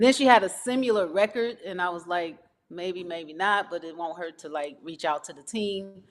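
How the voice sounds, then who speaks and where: With an American accent, a woman speaks in an ordinary speaking voice at a fairly low pitch, a moderate pace and ordinary pitch variation. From US West Coast, Los Angeles (South Central, Watts). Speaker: R&B singer-songwriter. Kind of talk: interview.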